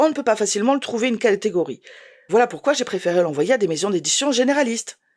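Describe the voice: Plain reading aloud comes with lively intonation.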